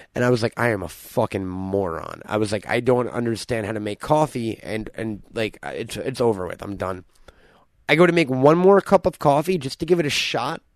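A man talks at a fairly quick pace with very wide pitch swings, recorded dry and close with no echo. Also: medium pitch for a man, quiet background. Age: 30s. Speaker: podcast host. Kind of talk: casual chat.

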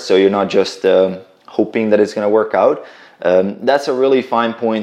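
The speaker has a slight Croatian accent and talks at a moderate pace. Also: man. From Croatia, village near Bosnian border. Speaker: fitness entrepreneur. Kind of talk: casual interview. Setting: in-person at host's flat.

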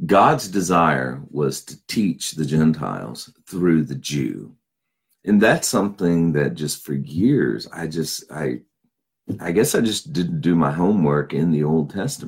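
A man speaks at a fairly slow pace, his very deep, low voice edged with vocal fry. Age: 50s. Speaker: pastor and Bible teacher. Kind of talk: Bible teaching. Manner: casual, with fillers.

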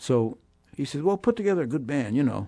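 Against a quiet background, a man with an American accent talks at a fairly quick pace in a dark, mellow tone with very wide pitch swings. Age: 80s+. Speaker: jazz saxophonist and clarinetist. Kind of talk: interview. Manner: halting.

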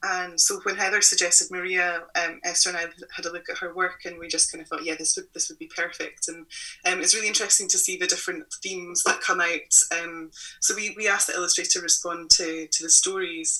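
Noticeable background noise runs under a fairly quick delivery with big swings in loudness. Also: woman. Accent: Scottish. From Scotland. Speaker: magazine publisher. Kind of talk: interview conversation.

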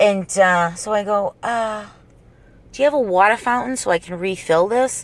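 A woman with a strong Boston accent, animated in tone, at a moderate pace with ordinary pitch variation, on a very clean recording with a silent background. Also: medium pitch for a woman. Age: 30s. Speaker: podcast host. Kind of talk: casual solo podcast ramble, profane. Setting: in a parked car used as a studio. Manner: animated, humorous, profane.

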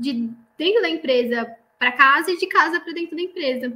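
With a raised, projected voice, a woman speaks at a high pitch in a bright, sharp tone with ordinary pitch variation. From Santa Catarina, Brazil (northern interior). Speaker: chemical engineer, production coordinator. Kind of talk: interview about career.

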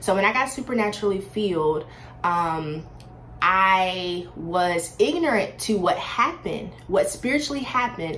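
Animated and lively in intonation, a woman speaks at a moderate pace with medium pitch. Noticeable background noise and audible room echo fill the recording. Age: 20s. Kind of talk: faith testimony monologue.

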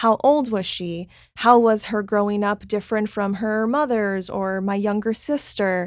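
A woman with an American accent speaks at a fairly slow pace in an unremarkable speaking voice. Her medium pitch stays fairly even on a very clean recording with a silent background. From Miami, Florida. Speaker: actress. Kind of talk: casual interview.

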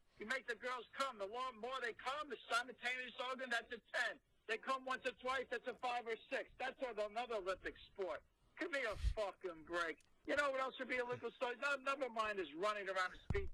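Raising and projecting his voice, a man speaks at an extremely high pitch with ordinary pitch variation. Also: fairly quick pace. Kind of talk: comedic rant. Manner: loud, ranting and profane.

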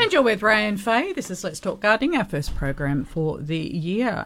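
A woman in an Australian accent at a moderate pace. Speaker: radio host. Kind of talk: casual radio chat. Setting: radio studio. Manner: animated.

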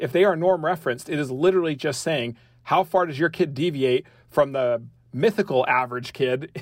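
Speaking fairly quickly with a western US accent, a man uses a fairly high pitch and ordinary pitch variation, recorded very cleanly against a silent background. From rural Utah, US. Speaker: education researcher and former professor. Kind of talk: interview.

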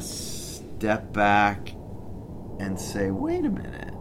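A man with an American accent speaks at a fairly low pitch. Audible room echo surrounds his voice. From Chicago, US Midwest. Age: 50s. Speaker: sports club executive. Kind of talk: casual chat. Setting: outdoors.

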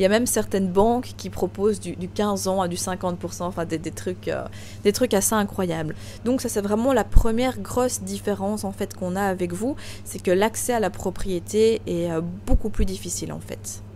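The voice moves at a moderate pace. Noticeable background noise runs underneath. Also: woman. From Belgium. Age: 20s. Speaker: real estate investor and coach. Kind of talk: interview.

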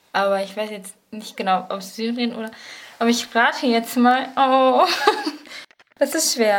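Fairly high in pitch with ordinary pitch variation, a woman talks at a fairly slow pace, pausing long and often as her loudness swings widely. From Paderborn, Germany. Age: 20s. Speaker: bible college student, quiz contestant. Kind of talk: quiz.

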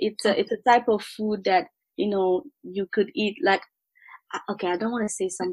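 A woman with a French accent speaks at a medium pitch in a somewhat breathy voice with ordinary pitch variation. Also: moderate pace, dry, close sound with no echo. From Ivory Coast, Abidjan. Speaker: food blogger and entrepreneur. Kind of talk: interview conversation.

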